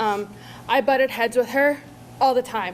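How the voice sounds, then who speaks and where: Noticeable background noise fills the clip. Through it, a woman talks. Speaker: mourner sharing memories. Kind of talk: eulogy. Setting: memorial service with audience.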